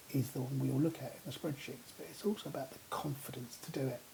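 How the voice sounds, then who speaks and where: A man speaks in a British accent at a medium pitch. His tone is dark and mellow, and somewhat breathy. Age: 50s. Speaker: vlogger. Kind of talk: personal vlog monologue. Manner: halting, many repetitions and fillers.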